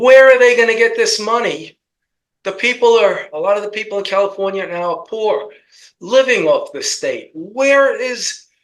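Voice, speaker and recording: This voice carries a New York accent. It moves at a fairly slow pace with ordinary pitch variation. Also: man. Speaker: political commentator. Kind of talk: political talk show discussion.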